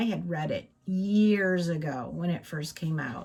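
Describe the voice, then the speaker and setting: Somewhat breathy and fairly low in pitch, a woman's voice moves with ordinary pitch variation. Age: 60s. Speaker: craft channel vlogger. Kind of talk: casual chat. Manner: hesitant, many fillers.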